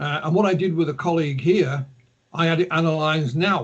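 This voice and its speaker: Here a man talks with a Yorkshire accent. His pitch is fairly high and his intonation fairly even. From Yorkshire, northern England. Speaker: ufologist and author. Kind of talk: interview. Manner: hesitant, many fillers and repeats.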